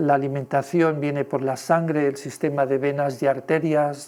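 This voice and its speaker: The speaker goes at a fairly slow pace in a monotone, flat delivery. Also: man. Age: 60s. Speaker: lecturer. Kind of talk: lecture. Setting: presentation with audience. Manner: hesitant, filler-heavy.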